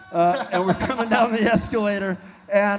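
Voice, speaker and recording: A man with lively intonation at a moderate pace, amid noticeable background noise. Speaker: rock band member. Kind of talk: on-stage storytelling. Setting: stage with audience.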